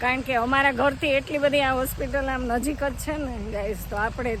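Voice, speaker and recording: A woman's high-pitched voice with fairly even intonation, audible room echo and noticeable background noise. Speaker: vlogger. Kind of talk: casual vlog narration. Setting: at home and outdoors in yard.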